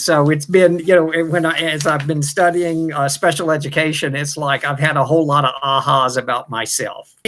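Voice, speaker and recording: A man speaks in a normal speaking voice with fairly high pitch. His intonation stays fairly even. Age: 60s. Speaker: teacher. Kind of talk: testimony.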